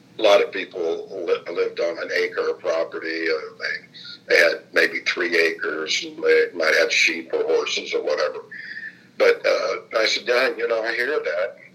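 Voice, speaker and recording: A man speaks in a raised, projected voice with a Midwestern US accent. His pitch is extremely high, his pace fairly slow and his intonation fairly even. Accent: US Midwest. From Indianapolis, Indiana. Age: 70s. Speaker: former state legislator and funeral director. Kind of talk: oral history interview.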